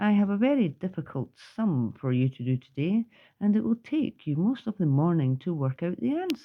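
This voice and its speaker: A woman with a Scottish accent, moderate pace and very wide pitch swings. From Scotland. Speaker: grandmother. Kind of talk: children's book read-aloud.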